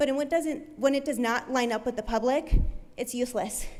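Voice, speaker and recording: High-pitched woman's voice with an American accent. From Nebraska, Omaha. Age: 20s. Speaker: public commenter. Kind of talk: public comment speech. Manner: loud; animated.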